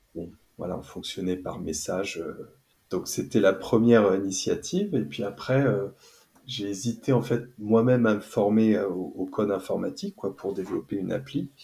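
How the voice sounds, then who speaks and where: A man speaks at a moderate pace in a fairly low pitch with ordinary pitch variation. His tone is dark and mellow, and somewhat breathy. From western France, near Nantes. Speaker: neurofeedback practitioner. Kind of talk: casual chat.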